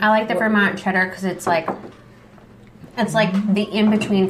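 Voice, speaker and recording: Over noticeable background noise and audible room echo, a woman with an American accent speaks at a moderate pace. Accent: Wisconsin accent, stronger after drinking. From Wisconsin. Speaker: podcast host. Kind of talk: casual chat. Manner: animated.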